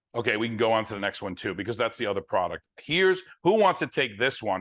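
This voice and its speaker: A man with a strong New Jersey accent talks at a very fast pace, his medium-pitched voice full of lively intonation. The background is quiet. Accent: New Jersey, heavy. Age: 60s. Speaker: network marketing distributor. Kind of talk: sales presentation on video call.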